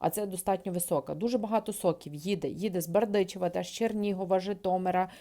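A woman's very fast speech at a medium pitch, dark and mellow in tone, with hardly any pauses and fairly even intonation. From western Ukraine, Lviv region. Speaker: trade educator and video blogger. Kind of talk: educational video talk. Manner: hesitant with filler sounds.

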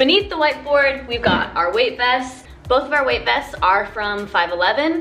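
A woman talks at a fairly slow pace, with faint music in the background. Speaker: fitness vlogger. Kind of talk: casual vlog chat. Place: garage. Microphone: phone near.

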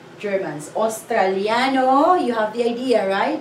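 In a Filipino accent, a woman speaks at a fairly high pitch with lively intonation, with audible room echo and light background noise. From Philippines. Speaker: language teacher. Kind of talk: lesson tutorial. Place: classroom. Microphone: camera far.

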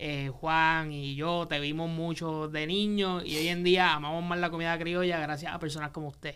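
A man's moderate pace pairs with a monotone, flat intonation. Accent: Puerto Rican. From Puerto Rico. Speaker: podcast host. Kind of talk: casual chat. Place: studio. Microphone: studio mic.

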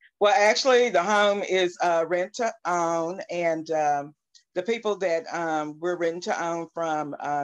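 Against a quiet background, a woman speaks very slowly at a fairly low pitch with ordinary pitch variation. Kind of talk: interview answer. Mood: calm, slightly weary. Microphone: video call.

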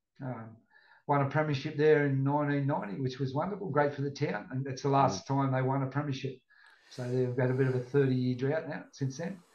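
A man with an Australian accent speaks at a fairly quick pace. His pitch is fairly high and his intonation fairly even. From Australia, Northern Rivers NSW. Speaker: retired rugby league player. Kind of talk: casual chat.

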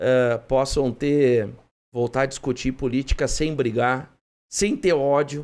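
A man talks at a very slow pace. His intonation is fairly even. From Rio Grande do Sul, Brazil. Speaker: mayor. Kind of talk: broadcast interview. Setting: studio. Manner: halting. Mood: calm, hopeful. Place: studio. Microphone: studio mic.

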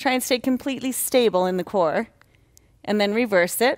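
Over a quiet background, a woman talks at a moderate pace with ordinary pitch variation. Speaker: yoga instructor. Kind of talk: guided exercise instruction.

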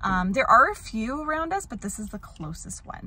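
With lively intonation, a woman speaks in a dry sound with no echo, against noticeable background noise. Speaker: family vlogger. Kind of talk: casual vlog chat. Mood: cheerful, chatty. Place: car. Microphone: phone near.

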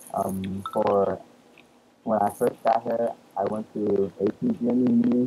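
A man speaks at a very slow pace in a monotone, flat intonation with fairly low pitch. The sound is dry with no echo, over light background noise. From Hong Kong. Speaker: immigrant interviewee; interviewee. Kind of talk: oral history interview. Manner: casual, hesitant with fillers. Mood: relaxed, smiling.

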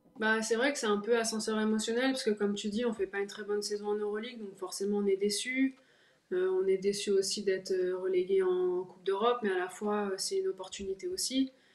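Through audible room echo, a woman talks fairly quickly with fairly even intonation. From La Rochelle, France; France. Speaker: professional basketball player; guest. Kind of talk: interview. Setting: video call. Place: home room. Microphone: video call.

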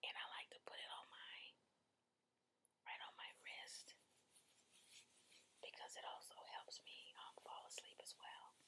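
A woman whispers at a fairly slow pace. Her pauses are long and frequent. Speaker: ASMR creator. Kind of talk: ASMR relaxation session. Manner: soft-spoken. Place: home room. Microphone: webcam.

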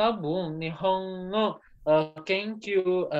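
An Indonesian accent over a quiet background. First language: Indonesian (speaking Japanese). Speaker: student. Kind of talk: class presentation. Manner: halting. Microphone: video call.

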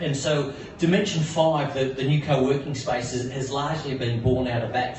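Light background noise and audible room echo accompany a man's speech. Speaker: coworking space community manager. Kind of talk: pitch presentation. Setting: bar venue with audience. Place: bar.

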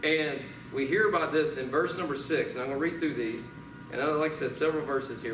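A man with an American accent at a fairly high pitch, over noticeable background noise. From US South. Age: 40s. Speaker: pastor. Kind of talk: sermon. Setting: church. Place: church.

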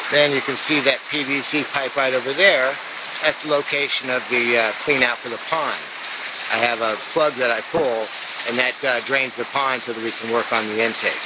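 Loud background noise surrounds a moderate-paced voice recorded dry with no echo. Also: man. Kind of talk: walking tour explanation. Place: forest. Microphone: phone near.

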